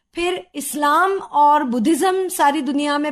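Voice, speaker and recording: With a Marathi accent, a woman talks at a high pitch against a quiet background. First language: Marathi (speaking Hindi). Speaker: sociology professor. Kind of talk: educational interview. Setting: studio. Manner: formal, explanatory.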